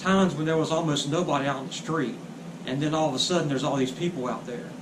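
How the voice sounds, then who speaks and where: There is noticeable background noise behind this man. His pitch is fairly high, with ordinary variation. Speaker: street preacher. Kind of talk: casual talk to camera, video intro.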